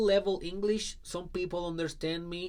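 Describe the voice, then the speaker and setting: A man speaks in a Spanish accent. His pitch is high. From Puerto Rico, rural southwest. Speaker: life coach. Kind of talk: personal story talk.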